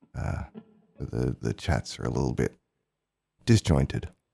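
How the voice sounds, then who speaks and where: A man with an Australian accent and vocal fry speaks at a moderate pace, the sound dry and close with no echo. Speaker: musician livestreamer. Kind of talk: casual live stream chat.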